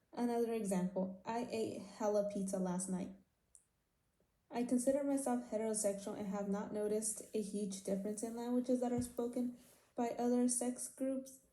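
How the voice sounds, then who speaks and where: A woman's fairly high voice, dark and mellow in tone and somewhat breathy, at a moderate pace with fairly even intonation and audible room echo. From California Central Valley, raised bilingual after early childhood in Mexico. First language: Spanish. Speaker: university student. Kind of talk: class presentation. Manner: reads from script, somewhat halting.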